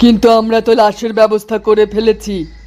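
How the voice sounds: A man puts on a cartoonish character voice at a high pitch. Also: moderate pace.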